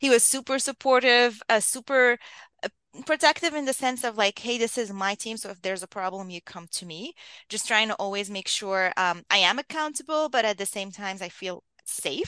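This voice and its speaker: This woman has a fairly high pitch and a bright, sharp tone, with lively intonation and big swings in loudness at a moderate pace. The sound is dry and close with no echo, over a quiet background. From Lebanon. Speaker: leadership coach. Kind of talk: interview conversation.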